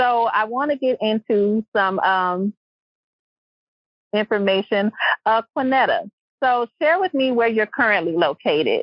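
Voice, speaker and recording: Fairly high-pitched and lively in intonation, a woman with a Louisiana accent talks at a fairly slow pace with long, frequent pauses, her loudness very even. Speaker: podcast host. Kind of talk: podcast interview.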